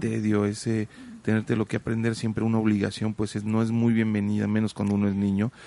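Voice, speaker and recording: A man talks with a fairly low pitch. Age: 30s. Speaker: podcast host. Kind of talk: interview conversation. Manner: halting, many fillers.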